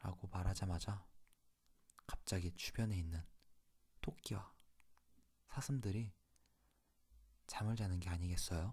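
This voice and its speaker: A man with a very deep, low pitch and a dark, mellow, soothing tone speaks at a fairly slow pace, somewhat breathy, with ordinary pitch variation and long, frequent pauses. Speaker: ASMR channel host. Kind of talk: ASMR fairy tale reading. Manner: soft, slow, soothing bedtime reading.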